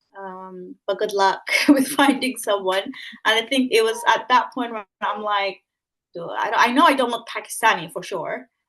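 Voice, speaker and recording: A woman's fairly high-pitched voice at a moderate pace, with ordinary pitch variation and a quiet background. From Sudan. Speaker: trainee solicitor. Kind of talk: panel discussion.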